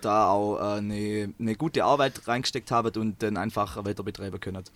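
In a very clean recording with a silent background, a man speaks with a strong Swabian accent. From Swabia, southern Germany. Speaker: engineering student and choir singer. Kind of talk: casual interview. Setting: in a parked bus.

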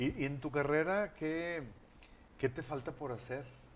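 Ordinary pitch variation marks this man's fairly slow delivery. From Monterrey, Mexico. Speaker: online talk show host. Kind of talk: livestream talk show.

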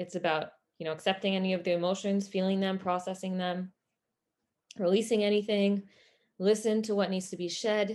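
Over a quiet background, a woman speaks at medium pitch. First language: French (bilingual with English). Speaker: wellness coach and podcast host. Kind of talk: solo podcast monologue. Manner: casual, conversational with fillers.

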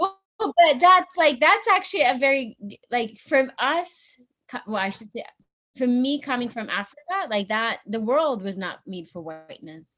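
A woman speaks in a raised, projected voice at a high pitch and moderate pace, with a bright, sharp tone. Her pitch swings very widely and her loudness swings a lot. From Ethiopia, then US. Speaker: business school friend of host. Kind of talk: casual chat. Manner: halting.

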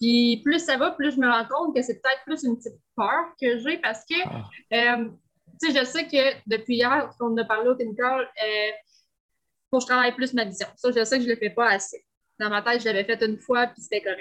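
Speaking with a Quebec accent, a woman has a high pitch with ordinary pitch variation. Her pace is moderate. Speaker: entrepreneur. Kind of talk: coaching session.

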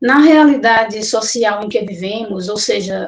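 At a fairly slow pace, a woman talks in an ordinary speaking voice with a fairly high pitch. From Pernambuco, Brazil (Olinda). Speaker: social psychologist. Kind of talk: prepared statement. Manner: formal.

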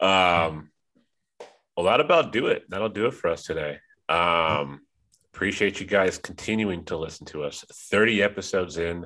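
A man with a low, nasal voice and a bright, sharp tone speaks at a moderate pace. His intonation is lively.

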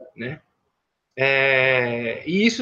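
A man's bright, sharp-toned voice. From São Paulo, east zone. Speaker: independent filmmaker and poet. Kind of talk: casual interview storytelling. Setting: online live stream. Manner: halting, repeats words.

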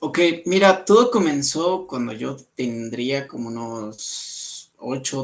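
The speech has lively intonation and big swings in loudness. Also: man. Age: 20s. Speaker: photographer. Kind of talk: interview.

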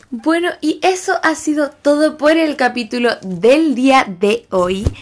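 A woman with a Chilean accent and lively intonation. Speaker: podcast host and street singer. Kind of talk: casual monologue.

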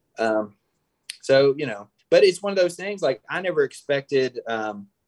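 The sound is dry and close with no echo as a man speaks at a moderate pace with ordinary pitch variation. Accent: Southern US. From Mississippi, Tupelo. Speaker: filmmaker. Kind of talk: casual interview.

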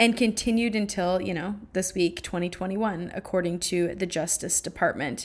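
A woman at medium pitch talks with hardly any pauses. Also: moderate pace. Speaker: podcast host. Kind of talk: casual monologue. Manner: animated.

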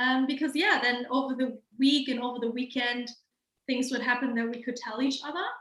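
A woman with a German accent, high-pitched, with fairly even intonation. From Germany, Hamburg. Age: 20s. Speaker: lawyer and small business owner. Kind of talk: casual chat.

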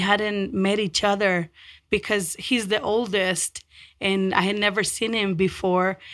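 A woman speaks at a very slow pace with fairly even intonation. She has a Spanish accent. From Mexico, then North Denver from age 13. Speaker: community nonprofit leader. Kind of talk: interview.

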